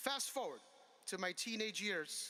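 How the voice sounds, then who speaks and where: A man with an American accent, raised, projected voice, bright, sharp tone, lively intonation, moderate pace. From Connecticut, US. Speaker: commencement speaker. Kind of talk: commencement speech. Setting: outdoor amphitheater with audience.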